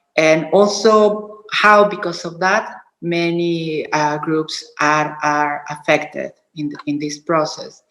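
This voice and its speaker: A very slow, fairly low-pitched woman's voice in a Spanish accent, with ordinary pitch variation and audible room echo. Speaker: sex worker rights activist. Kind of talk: panel talk. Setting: video call. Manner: halting.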